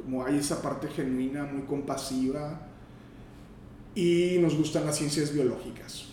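In a room with audible echo and noticeable background noise, a man with a fairly high pitch talks at a fairly slow pace in a monotone, flat intonation. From northern Mexico, Matamoros. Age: 50s. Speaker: gynecologist and obstetrician. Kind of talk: interview. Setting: doctor's office. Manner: halting.

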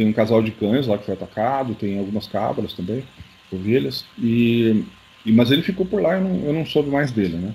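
Lively intonation and a moderate pace from a man, a normal speaking voice pitched at a medium level. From Curitiba, southern Brazil. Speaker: UFO researcher and author. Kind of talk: interview.

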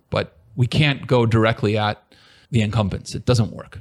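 Recorded dry and close with no echo, a man with a Californian accent speaks at medium pitch and a moderate pace, using ordinary pitch variation. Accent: General American (Californian). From US West Coast (San Diego, California). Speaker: tech entrepreneur. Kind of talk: interview.

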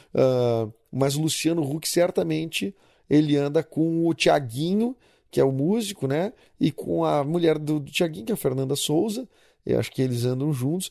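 A man with a fairly high pitch and a dark, mellow tone talks at a moderate pace with lively intonation in a very clean recording with a silent background. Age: 30s. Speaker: podcast host. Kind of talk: casual monologue. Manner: animated.

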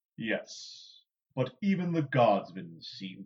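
Putting on a rumbling character voice, a man speaks with lively intonation. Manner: slow, deliberate; mild, slightly wounded, earnest.

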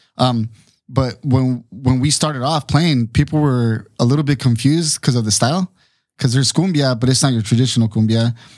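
A man with an American accent talks fairly quickly at a medium pitch in an ordinary speaking voice. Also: ordinary pitch variation. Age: 30s. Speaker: band drummer. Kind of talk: casual chat.

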